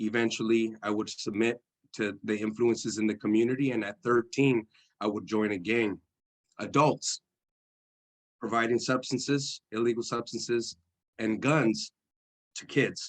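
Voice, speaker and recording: A man speaks with a Spanish accent and fairly even intonation. The sound is dry and close with no echo, and his pauses are long and frequent. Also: medium pitch for a man, moderate pace. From East San Jose, California. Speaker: formerly incarcerated speaker. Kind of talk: testimony. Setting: church service.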